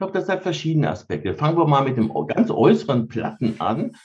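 Talking at a very fast pace, a man uses a fairly high pitch with vocal fry. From Rhineland, Germany (Cologne-Bonn area). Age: 50s. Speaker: mindfulness trainer. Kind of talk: interview.

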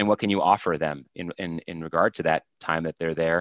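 The speaker is a man. Behind him, the background is quiet. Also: dry, close sound with no echo. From US Northeast (Vermont). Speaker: tech sales executive. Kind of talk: interview conversation. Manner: halting, many fillers.

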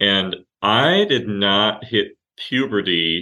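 A man with a very deep, low pitch and an American accent. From Oregon and Lebanon (missionary kid), US from age 14. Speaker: mental health life coach, occupational therapist. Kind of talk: podcast interview.

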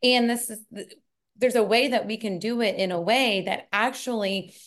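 A woman speaks in a normal speaking voice with ordinary pitch variation. Her pace is moderate, and the background is quiet. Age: 40s. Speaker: fitness coach. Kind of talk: interview chat.

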